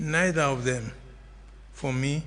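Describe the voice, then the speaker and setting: A man with a Sierra Leonean accent at a fairly slow pace, audible room echo around him. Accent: Sierra Leonean English with Krio. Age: 70s. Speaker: political commentator. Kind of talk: radio interview.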